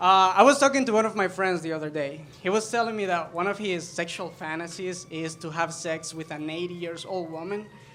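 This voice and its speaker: With a Spanish accent, a man talks in a high pitch and bright, sharp tone at a fairly quick pace, with ordinary pitch variation, hardly any pauses and audible room echo. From El Salvador. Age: 20s. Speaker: stand-up comedian. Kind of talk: stand-up. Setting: stage with audience.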